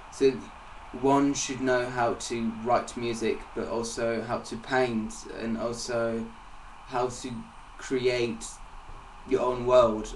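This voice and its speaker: Amid noticeable background noise and audible room echo, a man speaks at a very slow pace and medium pitch, monotone and flat, with long, frequent pauses. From England. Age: 20s. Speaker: singer-songwriter. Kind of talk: interview. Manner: halting.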